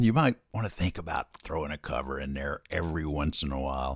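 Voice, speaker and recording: Over a silent background in a very clean recording, a man with a Southern US accent speaks at a moderate pace, his pitch swinging very widely, with vocal fry. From US South, Hattiesburg, Mississippi. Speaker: musician. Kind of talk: casual interview. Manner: chatty.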